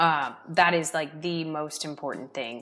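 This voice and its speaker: With an American accent, a woman uses an ordinary speaking voice at a fairly low pitch and a moderate pace. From US South. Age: 30s. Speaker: real estate investor. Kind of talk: interview.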